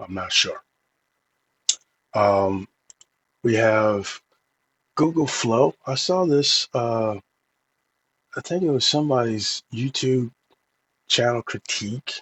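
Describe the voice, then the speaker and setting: A very slow pace with long, frequent pauses and lively intonation. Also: man, medium pitch for a man. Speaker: tech reviewer, AI music tools. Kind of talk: casual tutorial review. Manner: halting, many fillers.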